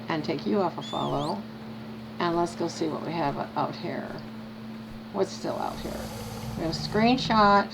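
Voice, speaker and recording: Her pitch swings very widely as a woman speaks over noticeable background noise, with audible room echo. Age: 70s. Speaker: video game streamer. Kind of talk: casual gameplay commentary. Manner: animated.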